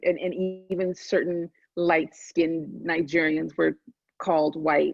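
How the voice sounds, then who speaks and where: A woman's fairly low voice with vocal fry and fairly even intonation, at a fairly slow pace. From US, born in Nigeria. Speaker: author and mental health advocate. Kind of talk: moderated conversation. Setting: video call. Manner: halting.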